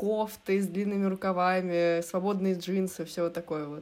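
Woman at a moderate pace, medium-pitched, with an unremarkable speaking voice. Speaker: design student. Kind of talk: casual chat.

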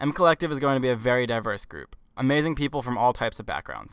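A man with a medium pitch talks at a very fast pace with an American accent. His intonation stays fairly even on a very clean recording with a silent background. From New York. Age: 20s. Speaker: podcast host, former management consultant. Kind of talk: scripted monologue introduction. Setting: mechanic shop.

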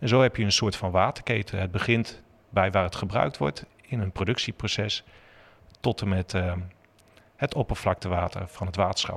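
In a normal speaking voice, a man talks at a moderate pace and fairly low pitch with ordinary pitch variation, in a dry, close sound with no echo. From Netherlands, Zutphen (Gelderland). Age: 40s. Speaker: water technology company employee. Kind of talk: interview.

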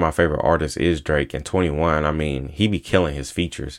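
A man is speaking. His voice has vocal fry. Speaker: solo podcast host. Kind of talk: casual monologue. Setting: recording on laptop at home. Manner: fast, stumbling over words.

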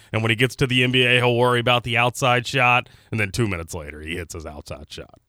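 Bright and sharp in tone, the voice moves at a very fast pace with lively intonation and big swings in loudness, in a very clean, dry, close recording with a silent background and no echo. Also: man, medium pitch for a man. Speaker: radio producer and play-by-play announcer. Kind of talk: casual chat. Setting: studio. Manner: professional on-air delivery.

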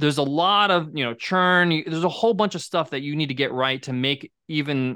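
In a very clean recording with a silent background, a man with an American accent speaks at a very fast pace in a bright, sharp tone with ordinary pitch variation. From New York. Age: 40s. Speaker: podcast host and software entrepreneur. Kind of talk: interview.

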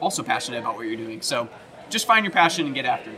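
A man speaks with an American accent at a fairly high pitch. Background noise is noticeable. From US South, Tennessee near Nashville. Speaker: musician. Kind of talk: interview.

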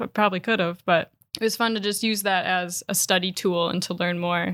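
A woman with a Wisconsin accent talks at a moderate pace and medium pitch, with ordinary pitch variation. The recording is very clean, with a silent background. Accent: Upper Midwest (Wisconsin). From Wisconsin, Door County. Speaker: certified beer expert and writer. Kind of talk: casual interview.

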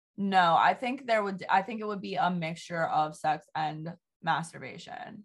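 At a moderate pace, a woman talks in a voice that is somewhat breathy. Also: medium pitch for a woman, ordinary pitch variation. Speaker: podcast host. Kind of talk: casual chat.

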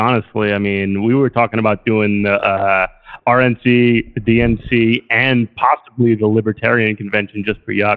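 A man speaks in an unremarkable speaking voice at medium pitch. His pace is moderate and his intonation fairly even. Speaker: caller. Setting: phone call.

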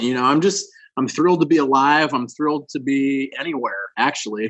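A fairly high-pitched man with an American accent and ordinary pitch variation. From rural Nebraska. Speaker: improv comedian and musician. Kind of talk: casual chat. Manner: animated.

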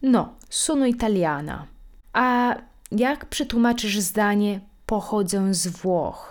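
A woman talks at a very slow pace with lively intonation on a very clean recording with a silent background. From Italy. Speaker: language teacher, podcast host. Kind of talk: language lesson with dialogue and repetition.

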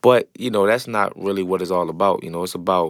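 Speaking with a New Orleans accent, a man has a fairly low pitch and a fairly quick pace. The recording is very clean, with a silent background. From New Orleans, Louisiana. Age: 20s. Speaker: entrepreneur, restaurant owner. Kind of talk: interview.

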